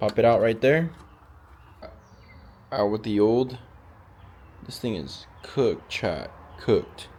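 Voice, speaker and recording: At a very slow pace with long, frequent pauses, a man talks at a medium pitch. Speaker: car enthusiast YouTuber. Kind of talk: casual DIY car tutorial. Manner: casual, filler-heavy.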